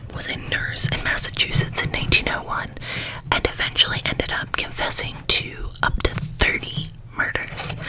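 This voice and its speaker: Noticeable background noise surrounds a woman who is whispering. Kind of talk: ASMR true crime talk. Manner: soft-spoken.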